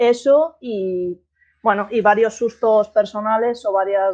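A woman's normal speaking voice with a medium pitch and fairly even intonation. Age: 30s. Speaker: marketing consultant. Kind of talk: interview conversation.

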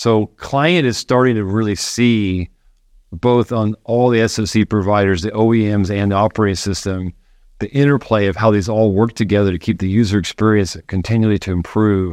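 A man with an American accent at a moderate pace, with ordinary pitch variation, in a dry, close recording with no echo. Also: fairly low pitch for a man, quiet background. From US South, Florida. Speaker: tech executive. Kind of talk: interview. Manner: halting, many fillers.

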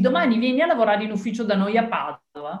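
A woman's somewhat breathy voice with a Venetian accent, ordinary pitch variation and a moderate pace. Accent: northeastern Italian (Veneto). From northeastern Italy (Triveneto). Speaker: marketing and communication expert. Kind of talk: interview. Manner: hesitant, with fillers.

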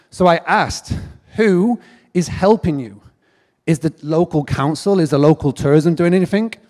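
The pace is moderate. A dark, mellow tone comes with ordinary pitch variation. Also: man. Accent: northern English. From northern England. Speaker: direct booking marketing speaker. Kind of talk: conference keynote talk. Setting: stage with audience. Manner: animated.

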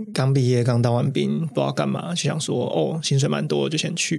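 At a fairly quick pace, a man talks with pitch that leaps up and down very widely. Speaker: influencer marketing manager. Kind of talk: interview.

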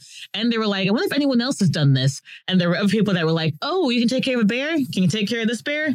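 In an American accent with vocal fry, the speaker goes at a very fast pace, keeping very even loudness while the pitch swings very widely. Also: woman, fairly high pitch for a woman. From Texas. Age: 30s. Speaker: zookeeper. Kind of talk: casual chat.

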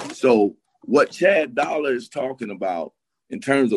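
At a moderate pace, a man with a plain, everyday voice speaks at a medium pitch in a dry, close sound with no echo. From US South, Miami. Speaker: college basketball assistant coach. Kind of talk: casual chat.

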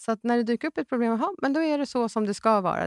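Woman at fairly high pitch in a normal speaking voice, fairly quick pace, dry and close with no echo, very clean recording with a silent background. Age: 50s. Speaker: entrepreneur. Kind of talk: casual chat.

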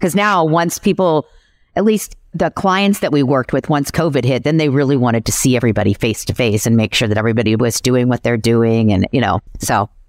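Speaking at a fairly quick pace with an American accent, a woman has a very deep, low pitch and very wide pitch swings. Her loudness stays very even, and the sound is dry and close with no echo. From Kansas City, US Midwest. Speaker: PR agency owner. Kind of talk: casual interview.

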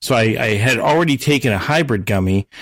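A man speaks in an ordinary speaking voice at a medium pitch. The sound is dry and close, with no echo. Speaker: podcast co-host. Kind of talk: casual chat. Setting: video call.

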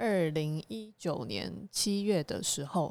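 A woman's fairly low pitch with very wide pitch swings. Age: young. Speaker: association chairperson, digital diplomacy activist. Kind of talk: casual chat.

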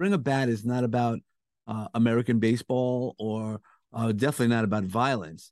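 The sound is dry and close with no echo as a man of medium pitch speaks at a fairly quick pace with ordinary pitch variation against a quiet background. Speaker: podcaster and coach. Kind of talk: casual interview chat. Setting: video call across the Atlantic.

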